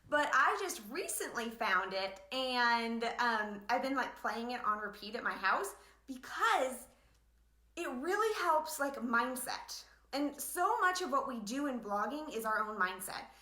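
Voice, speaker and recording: With a bright, sharp tone and high pitch, a woman speaks in an animated way with lively intonation. The room echo is audible. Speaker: blogging business coach. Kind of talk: live online training. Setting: livestream from home living room. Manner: fast.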